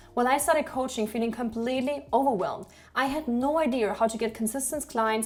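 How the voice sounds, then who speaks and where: A high-pitched woman at a fairly quick pace, with ordinary pitch variation. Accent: German. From Germany. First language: German. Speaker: online business coach. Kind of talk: sales pitch.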